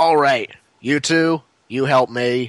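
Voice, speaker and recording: A man uses a put-on character voice at a medium pitch with fairly even intonation. The sound is dry and close, with no echo. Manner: commanding, taking charge.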